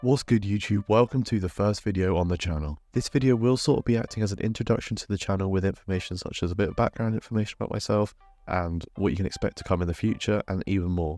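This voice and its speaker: A man with a British accent speaks at a very fast pace with hardly any pauses, his pitch fairly low and his tone dark and mellow. The sound is dry and close with no echo, and the background is quiet. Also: ordinary pitch variation. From UK. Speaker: fitness and football YouTuber. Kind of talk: casual vlog monologue.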